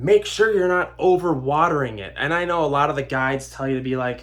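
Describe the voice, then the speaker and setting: A man's voice at a fairly high pitch. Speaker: houseplant YouTuber. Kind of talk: casual tutorial. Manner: casual, rambling.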